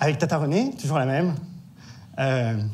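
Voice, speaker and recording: A man's fairly high voice in a Corsican accent, at a moderate pace, with audible room echo. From Corsica, Bastia. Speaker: actor. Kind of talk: stage monologue. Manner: animated.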